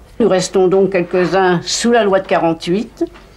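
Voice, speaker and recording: A woman is speaking here. Her voice is medium in pitch. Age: 70s. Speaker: elderly tenant. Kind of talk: interview testimony. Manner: formal.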